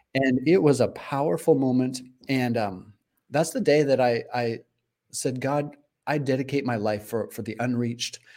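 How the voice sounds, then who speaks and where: With an American accent, a man speaks at a medium pitch in a dark, mellow tone, using ordinary pitch variation at a moderate pace. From Arizona, US. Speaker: missionary and author. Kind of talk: interview. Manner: animated.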